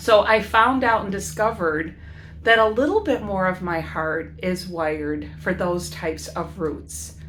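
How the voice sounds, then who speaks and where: Speaking at a fairly slow pace, a woman with an American accent is heard with audible room echo. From US Midwest, Chicago inner city. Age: 60s. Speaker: educator and van-life vlogger. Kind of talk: casual vlog monologue. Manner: halting, many fillers.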